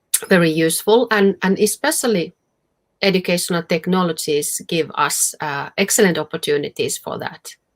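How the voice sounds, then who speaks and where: A woman's medium-pitched voice with a Finnish accent, moderate pace and ordinary pitch variation, in a dry, close sound with no echo. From Finland. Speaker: professor. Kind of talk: Q&A after a conference talk. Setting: video call to a virtual conference. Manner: halting, many fillers.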